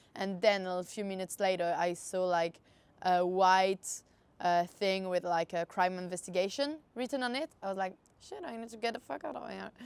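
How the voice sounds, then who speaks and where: A woman speaks with a French accent at a medium pitch. Her pace is moderate and her pitch variation ordinary. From France. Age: 20s. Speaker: adventure traveller. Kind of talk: interview. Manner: hesitant, many fillers.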